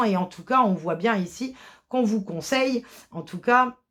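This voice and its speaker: A woman speaks at a very slow pace and a fairly high pitch. Her pitch varies in an ordinary way. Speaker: tarot card reader. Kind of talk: tarot reading. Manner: halting, many hesitations.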